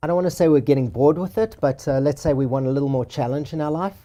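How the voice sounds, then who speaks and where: Fairly high-pitched for a man, this voice has a dark, mellow tone, ordinary pitch variation and an American accent. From South Africa, then Boston for high school. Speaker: luxury real estate agent. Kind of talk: interview.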